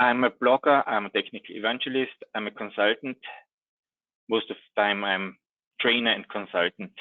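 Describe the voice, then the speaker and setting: A man with an Austrian accent speaks at a moderate pace and medium pitch, with ordinary pitch variation and long, frequent pauses. The sound is dry with no echo, against a quiet background. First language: German. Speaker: IT trainer and consultant; IT trainer. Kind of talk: technical presentation. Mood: friendly, lightly humorous. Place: home room.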